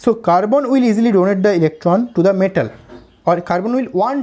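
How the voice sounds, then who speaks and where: Speaking at a very fast pace, a man with an Indian accent has a high pitch and a dark, mellow tone. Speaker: chemistry teacher. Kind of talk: lecture.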